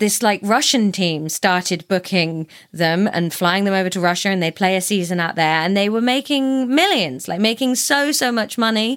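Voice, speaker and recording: In a plain, everyday voice, a woman speaks at medium pitch and a moderate pace with lively intonation, on a very clean recording with a silent background. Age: 30s. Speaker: podcast recommender. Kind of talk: casual chat.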